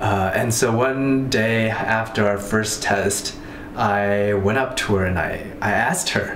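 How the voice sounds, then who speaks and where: A man's fairly low voice at a very slow pace, fairly even in intonation, with light background noise and audible room echo. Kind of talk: confessional interview to camera. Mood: shy, hesitant, lovestruck. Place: home room. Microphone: camera far.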